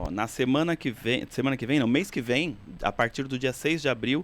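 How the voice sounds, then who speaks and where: A man with an interior São Paulo accent speaks on a very clean recording with a silent background. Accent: has picked up the Piracicaba. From São Paulo city, Brazil. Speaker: cultural center director. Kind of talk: casual interview.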